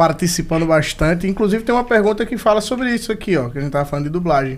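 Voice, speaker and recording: A man's high voice at a very fast pace, full of lively intonation. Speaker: podcast host. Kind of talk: casual chat. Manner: animated.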